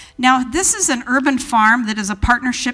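A woman's bright, sharp tone at a fairly quick pace, with ordinary pitch variation. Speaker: event host introducing speaker. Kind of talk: speaker introduction. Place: hall. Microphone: handheld.

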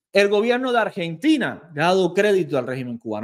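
An animated, fairly quick delivery with very wide pitch swings over a quiet background. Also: man. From Cuba. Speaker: YouTuber and political commentator; YouTuber, political commentator. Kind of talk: reaction video commentary. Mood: indignant, sarcastic rebuttal. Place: studio. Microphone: studio mic.

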